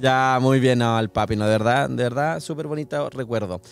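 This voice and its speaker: With a Chilean accent, a man talks at a moderate pace. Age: 40s. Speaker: podcast host. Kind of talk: casual chat.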